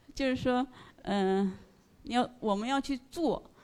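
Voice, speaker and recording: A woman speaks at a high pitch. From northeast China, ethnic Korean. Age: 50s. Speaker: listener sharing at a fan meetup. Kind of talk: presentation to live audience. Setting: stage with audience.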